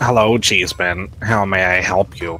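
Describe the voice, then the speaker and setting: A man uses a put-on character voice with a very deep, low pitch and ordinary pitch variation. He keeps a moderate pace over clear background noise. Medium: game stream.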